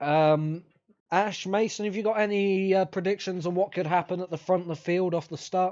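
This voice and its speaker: This man talks with a British accent at a moderate pace. His voice is high-pitched and his intonation fairly even. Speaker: podcast host. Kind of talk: casual chat. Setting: live stream. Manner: halting.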